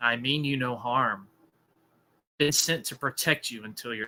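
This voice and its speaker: A man puts on a gravelly character voice at medium pitch. He keeps a moderate pace. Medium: read story. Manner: slow, cold and ominous.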